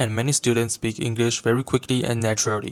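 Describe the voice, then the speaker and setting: A man with a Chinese accent talks at a fairly quick pace and medium pitch, his intonation monotone and flat. The sound is dry and close, with no echo. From China. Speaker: university student. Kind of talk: reflective video presentation. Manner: formal.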